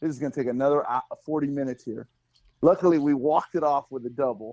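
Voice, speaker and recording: An unremarkable speaking voice at a fairly quick pace, ordinary pitch variation, and a dry, close sound with no echo. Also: man. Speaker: guest co-panelist. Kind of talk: casual banter podcast.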